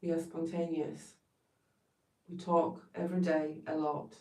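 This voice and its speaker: A woman with a Polish accent speaks at a fairly slow pace in a dark, mellow tone and a fairly low pitch, with audible echo in the room. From Poland. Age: 40s. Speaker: therapist. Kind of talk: livestream talk.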